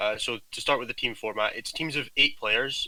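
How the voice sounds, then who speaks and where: A man with a strong Scottish accent speaks at a fairly quick pace. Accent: Scottish, thick. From Scotland. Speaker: gaming team captain. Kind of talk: casual chat.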